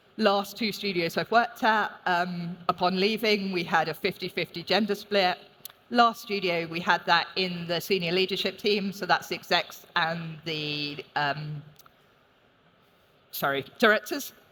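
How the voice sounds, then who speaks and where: Over noticeable background noise, a woman with a London accent talks at a fairly slow pace with ordinary pitch variation. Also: medium pitch for a woman. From London, England. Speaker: games industry executive. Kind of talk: conference talk. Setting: stage with audience.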